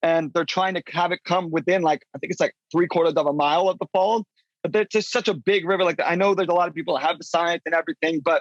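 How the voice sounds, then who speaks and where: This man talks very fast with an American accent, his pitch high and his loudness very even. The sound is dry and close, with no echo. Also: ordinary pitch variation. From US, grew up travelling in an RV. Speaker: professional whitewater kayaker. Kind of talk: casual interview chat. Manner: halting, many fillers and restarts.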